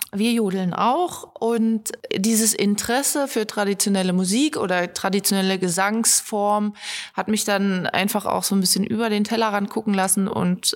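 A plain, everyday voice, it keeps to a moderate speed with ordinary pitch variation. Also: woman. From Harz region, Germany. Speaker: video editor, videographer and photographer. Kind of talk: casual interview. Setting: studio.

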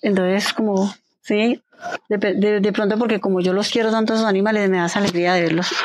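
Ordinary pitch variation in a woman's medium-pitched speech. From Colombia, Quindío (Pijao). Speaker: poultry and dairy farmer. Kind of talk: interview testimony. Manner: halting.

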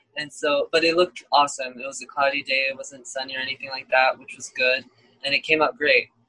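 Speaking at a very fast pace in a Californian accent, a man shows big swings in loudness in a dry, close sound with no echo. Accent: Californian American. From Los Angeles, US West Coast. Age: 20s. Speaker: lead guitarist. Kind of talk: casual interview.

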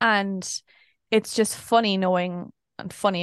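In an Irish accent, a woman speaks with fairly even intonation, the sound dry and close with no echo and the background quiet. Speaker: podcast co-host and vlogger. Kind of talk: casual chat.

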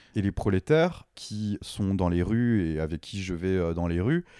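A man speaks at a moderate pace with a fairly low pitch, a dark, mellow tone and ordinary pitch variation. The sound is dry and close with no echo, on a very clean recording with a silent background. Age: 30s. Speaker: artist and bodybuilder. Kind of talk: interview. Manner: casual, laughing at times.

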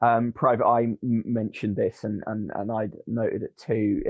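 In a British accent, a man talks at a moderate pace with a medium pitch. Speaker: media commentator. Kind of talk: panel discussion.

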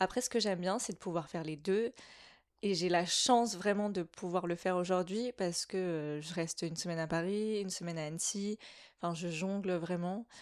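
A woman with a plain, everyday voice and fairly low pitch speaks at a fairly quick pace with ordinary pitch variation against a quiet background. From French mountain region. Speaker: art director and designer. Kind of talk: casual interview. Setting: in-person chat over tea.

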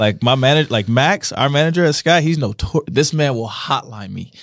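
A man with an American accent speaks in a normal speaking voice. His intonation is lively and his pace fairly quick. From US Midwest, Missouri (Kansas City, St. Louis). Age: 30s. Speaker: DJ and talent buyer. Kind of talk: casual chat. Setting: studio.

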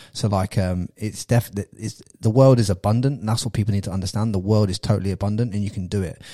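With a British accent and a dark, mellow tone, a man speaks at a very fast pace and fairly low pitch on a very clean recording with a silent background. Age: 30s. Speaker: podcast host. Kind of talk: casual interview. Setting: studio. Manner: animated.

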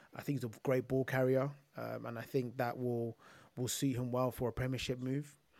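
Speaking at a fairly quick pace, a man uses a monotone, flat intonation at a medium pitch. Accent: London. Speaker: football podcast co-host. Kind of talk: casual chat. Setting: remote call.

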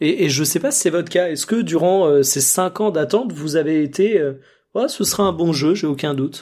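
At a moderate pace, a man speaks in a high pitch with a dark, mellow tone and ordinary pitch variation. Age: 20s. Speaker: video game podcast co-host. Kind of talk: casual chat.

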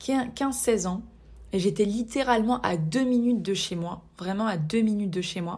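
Somewhat breathy and dark, mellow in tone, a woman speaks at medium pitch and a moderate pace. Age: 20s. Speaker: podcast host. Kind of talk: solo podcast monologue.

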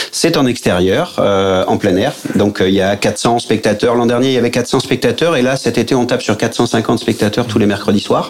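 Against noticeable background noise, a man speaks at a moderate pace with hardly any pauses, a medium pitch, ordinary pitch variation and very even loudness. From Aix-Marseille, southern France. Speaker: actor and comedy theatre director. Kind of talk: radio interview.

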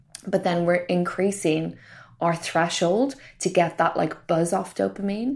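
On a very clean recording with a silent background, a woman speaks at a fairly low pitch with vocal fry. Her pace is fairly slow and her pitch variation ordinary. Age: 30s. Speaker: medical doctor and podcaster. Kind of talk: casual chat. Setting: in person, recorded on the road.

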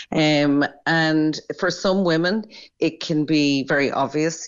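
A woman is speaking. She has an Irish accent. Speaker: doctor. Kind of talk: interview.

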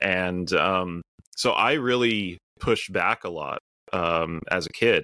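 Very deep and low in pitch, a man with an American accent speaks at a very slow pace in a bright, sharp tone, with ordinary pitch variation. The sound is dry and close with no echo, on a very clean recording with a silent background. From US Midwest. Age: 30s. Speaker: bunker company executive. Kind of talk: interview.

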